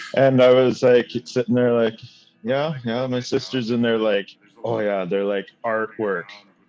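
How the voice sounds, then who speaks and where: Music plays in the background as a man with a Canadian prairie accent speaks at a fairly slow pace. His pitch is medium and his intonation fairly even. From Saskatchewan, Canada. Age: 30s. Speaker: reality TV participant reviewing his episode. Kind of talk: casual chat.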